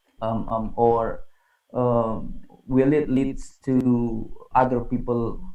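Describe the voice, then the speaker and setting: In an Indonesian accent, a man speaks with a medium pitch, fairly even intonation and a dark, mellow tone amid audible room echo. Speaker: conference moderator. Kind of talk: moderating academic panel.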